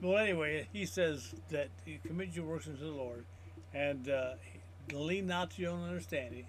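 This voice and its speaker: Amid audible room echo, a man of medium pitch talks at a moderate pace in a somewhat breathy voice with very wide pitch swings. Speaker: Bible teacher. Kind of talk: teaching. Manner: halting.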